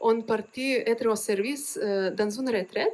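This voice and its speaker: This woman, who has a Lithuanian accent, speaks at a very slow pace. Her pitch is fairly high. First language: Lithuanian (speaking French). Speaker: religious sister. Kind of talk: testimony. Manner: halting, many hesitations.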